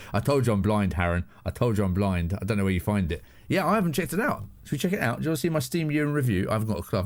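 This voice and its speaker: A man with a southern English accent talks very fast at a fairly low pitch. His pitch swings very widely while his loudness stays very even. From southern England. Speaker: live streamer. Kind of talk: casual chat. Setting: home studio.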